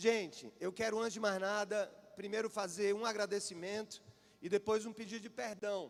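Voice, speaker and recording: The speaker has a Paraíba accent and fairly even intonation. Music plays in the background. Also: man, high pitch for a man, moderate pace. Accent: Paraíba northeastern Brazilian. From Paraíba, Brazil (João Pessoa). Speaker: preacher. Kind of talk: sermon.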